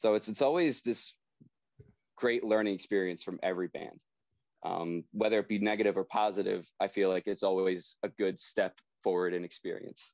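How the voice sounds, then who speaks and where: Delivered at a moderate pace, an ordinary speaking voice shows ordinary pitch variation, its sound dry and close with no echo. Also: man, fairly low pitch for a man. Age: 20s. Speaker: drummer in a pop punk band. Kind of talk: casual interview.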